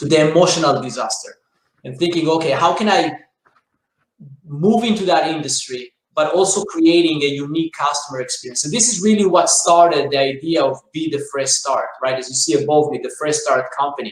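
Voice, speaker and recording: Talking at a fairly quick pace, a man with an Israeli accent has a fairly high pitch and ordinary pitch variation. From Israel, rural south. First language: Hebrew. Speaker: business owner, franchise CEO. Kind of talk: interview.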